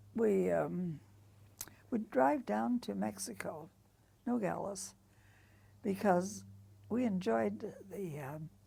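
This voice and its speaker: Delivered at a very slow pace with long, frequent pauses, the voice has a dark, mellow tone, vocal fry and very wide pitch swings. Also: woman, very deep, low pitch for a woman. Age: 80s+. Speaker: artist. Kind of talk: interview answer. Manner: energetic.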